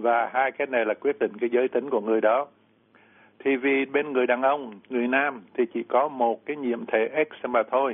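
A man's plain, everyday voice, medium in pitch, at a fairly slow pace with fairly even intonation. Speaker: doctor answering medical questions. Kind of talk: lecture-style medical explanation.

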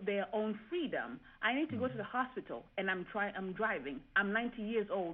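Speaking at a moderate pace, a woman with a fairly high pitch and an unremarkable speaking voice uses lively intonation. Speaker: engineer and professor.

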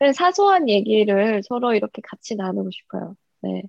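A woman's normal speaking voice at medium pitch, with ordinary pitch variation and a fairly slow pace. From North Korea. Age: 20s. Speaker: YouTuber and North Korean defector. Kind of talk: interview.

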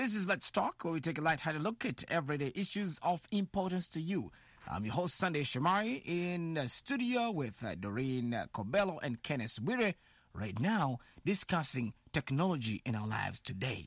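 Against a quiet background, the talking proceeds at a moderate speed. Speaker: radio host. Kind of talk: radio discussion show. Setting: studio.

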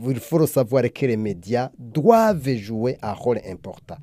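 Very slow speech from a man, dark and mellow in tone, with very wide pitch swings. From Burundi. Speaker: anti-corruption activist. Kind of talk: interview. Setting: away at a summit in the US. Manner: hesitant with frequent fillers.

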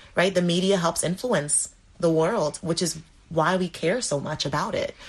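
Her voice sits at a medium pitch and has a somewhat breathy edge. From Dominica, Caribbean. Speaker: triple jumper, world class athlete. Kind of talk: interview.

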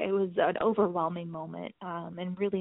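A woman at a fairly slow pace. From Cambodia (Phnom Penh), American expat family. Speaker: newspaper reporter. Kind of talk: interview.

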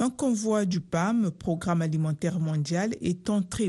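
Against a quiet background, a woman with a fairly low, somewhat breathy voice and a dark, mellow tone speaks at a very slow pace with ordinary pitch variation. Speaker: radio news anchor. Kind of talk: newsreading: a steady, formal read of world headlines in a brisk, even broadcast delivery. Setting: studio. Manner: formal, measured and neutral, with little emotion.

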